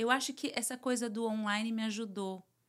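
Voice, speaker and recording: A woman's flat, monotone delivery on a very clean recording with a silent background. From Brazil. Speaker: psychoanalyst and therapist. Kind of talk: interview, casual chat.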